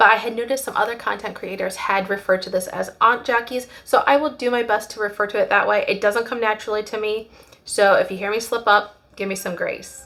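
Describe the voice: A woman puts on a raspy character voice with a fairly high pitch. She speaks at a very fast pace with fairly even intonation.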